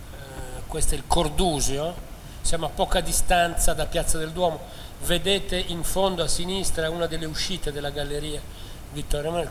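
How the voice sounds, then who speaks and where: Speaking in a Milanese accent, a man with a high pitch keeps a moderate pace and monotone, flat intonation, with audible room echo and noticeable background noise. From northern Italy, Milan. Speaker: architectural historian, lecturer. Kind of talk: lecture. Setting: lecture hall with audience.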